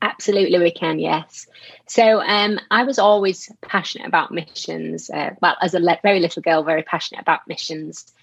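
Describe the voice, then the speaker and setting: A woman speaks with a strong Yorkshire accent at a fairly quick pace. Her pitch is fairly low, with ordinary variation. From Yorkshire, northern England. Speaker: charity worker, missions and anti-trafficking. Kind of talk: interview conversation, faith testimony.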